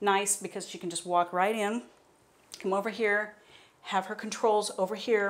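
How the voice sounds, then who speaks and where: Her intonation stays flat and monotone as the woman talks. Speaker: contractor. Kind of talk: home tour explanation. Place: bathroom. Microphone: lapel.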